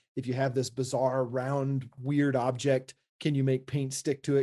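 A man speaks at a moderate pace in a medium-pitched voice. His tone is dark and mellow, his intonation flat and monotone. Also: hardly any pauses. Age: 40s. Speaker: architect and maker podcast co-host. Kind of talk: casual chat.

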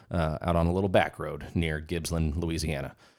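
With an American accent, a man talks at a moderate pace in a very deep, low pitch. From California. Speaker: podcast host and police officer. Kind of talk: casual chat. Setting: studio. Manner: filler-heavy, halting.

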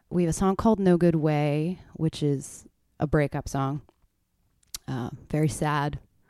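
A woman speaks fairly slowly in a very deep, low, dark, mellow voice with ordinary pitch variation. She leaves long, frequent pauses, and the recording is very clean with a silent background. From Canada, Ontario. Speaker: country singer-songwriter. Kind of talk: casual interview chat. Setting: podcast interview.

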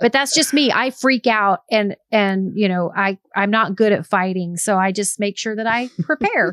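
The sound is dry and close with no echo as a woman speaks at a moderate pace, with ordinary pitch variation and hardly any pauses. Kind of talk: casual chat.

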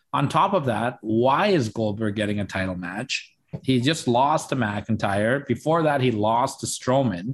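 In a normal speaking voice, a man talks at a medium pitch and a fairly slow pace with lively intonation and hardly any pauses. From Canada. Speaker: wrestling podcaster. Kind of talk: casual chat.

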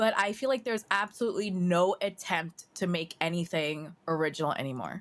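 A woman with a plain, everyday voice talks fairly quickly, her fairly low pitch showing ordinary variation. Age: 30s. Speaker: podcast co-host. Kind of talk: reading aloud; casual chat.

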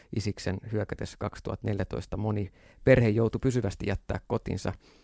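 This man has a fairly low pitch with vocal fry and monotone, flat intonation. The sound is dry and close, with no echo. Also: very clean recording, silent background. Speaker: radio host. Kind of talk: interview.

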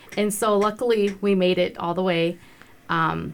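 An ordinary speaking voice comes from a woman with an American accent, her pitch fairly low. She talks at a moderate pace with fairly even intonation. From Montana, Browning. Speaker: non-profit founder, business owner. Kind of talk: radio interview.

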